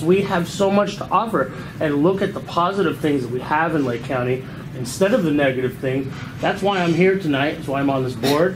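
Noticeable background noise fills the clip. The intonation is lively. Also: man. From San Francisco. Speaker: audience member, wine association board member; audience member. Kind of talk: audience comment. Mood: earnest, upbeat. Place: hall. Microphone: camera far.

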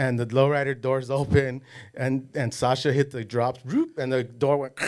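Against a quiet background, someone with an American accent talks at a moderate pace. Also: man. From Los Angeles area. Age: 40s. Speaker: casting and extras agency owner, former gang member; podcast guest. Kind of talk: casual interview. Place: studio. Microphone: studio mic.

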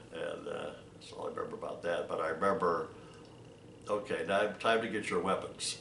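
A man with an American accent at a fairly quick pace, big swings in loudness, light background noise, and audible room echo. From Ohio. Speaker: war veteran. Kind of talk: interview. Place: home room. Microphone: webcam.

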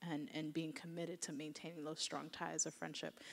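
A woman talks in a fairly low voice for a woman, with vocal fry throughout. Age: 30s. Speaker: novelist; author on a panel. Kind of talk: panel discussion. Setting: stage with audience. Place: hall. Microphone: handheld.

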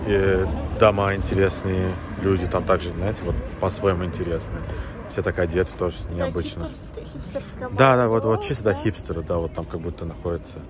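A man's very deep, low pitch with ordinary pitch variation, at a moderate pace with long, frequent pauses, dry with no echo, amid noticeable background noise. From Azerbaijan. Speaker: vlogger. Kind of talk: casual travel vlog narration. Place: street. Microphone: phone near.

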